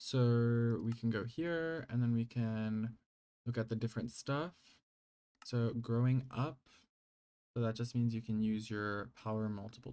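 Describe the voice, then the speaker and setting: The recording is very clean, with a silent background. Delivery is fairly slow, with long, frequent pauses. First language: not English. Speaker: gaming YouTuber. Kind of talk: gameplay mod showcase. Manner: casual, hesitant with fillers.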